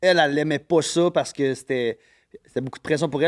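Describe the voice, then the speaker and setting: Dry and close with no echo, a man's voice runs at a very fast pace and a fairly high pitch. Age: 30s. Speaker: guest on a podcast. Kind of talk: casual chat. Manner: loud and fast when excited.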